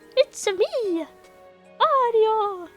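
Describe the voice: A woman puts on a character voice pitched extremely high. Faint music plays in the background.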